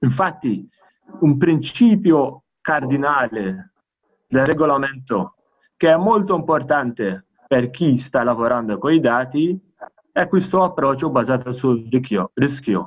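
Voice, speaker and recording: Over a very slow pace with long, frequent pauses, a man speaks at a fairly high pitch with lively intonation and very even loudness. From Malta. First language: Maltese or English (speaking Italian). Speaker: EU data protection official. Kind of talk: conference presentation. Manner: halting, many self-corrections.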